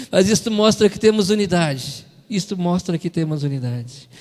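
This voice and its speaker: A man with a high voice talks rather slowly. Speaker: preacher. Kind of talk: sermon. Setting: church. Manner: animated.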